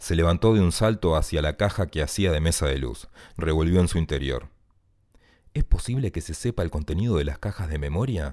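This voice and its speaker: Very deep and low, a man's voice with vocal fry and a dark, mellow tone moves at a fairly quick pace with lively intonation on a very clean recording with a silent background. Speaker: writer. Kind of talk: reading aloud.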